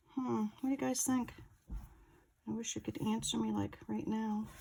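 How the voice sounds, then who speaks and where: Over noticeable background noise, a woman is mumbling. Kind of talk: tutorial. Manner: casual, thinking aloud, mumbling to herself.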